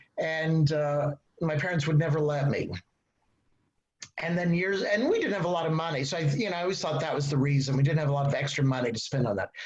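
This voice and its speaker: A fairly high-pitched man with an American accent, very fast pace and ordinary pitch variation. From Texas. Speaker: novelist. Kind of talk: panel discussion. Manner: halting.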